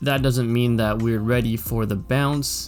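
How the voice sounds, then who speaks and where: Over music in the background, a man talks in a medium pitch. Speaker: economist and trader. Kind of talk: stock market analysis commentary.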